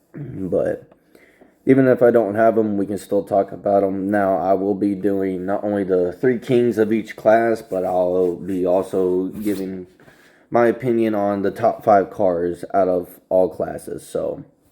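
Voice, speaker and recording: Fairly low in pitch and dark, mellow in tone, a man speaks at a fairly slow pace. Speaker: gaming YouTuber. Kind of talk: casual commentary video. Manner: casual, filler words.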